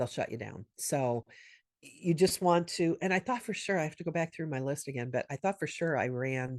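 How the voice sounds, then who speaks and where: The speaker is a woman with a moderate pace. Her pitch variation is ordinary. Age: 60s. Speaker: SMS marketing business consultant. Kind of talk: workshop Q&A.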